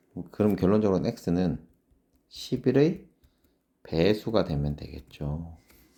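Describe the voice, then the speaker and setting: His tone is dark and mellow. The voice belongs to a man. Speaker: math academy director and teacher. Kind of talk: lecture. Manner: fast.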